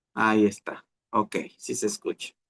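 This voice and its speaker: A man talks with a dry, close sound that has no echo. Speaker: pastor. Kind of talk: sermon.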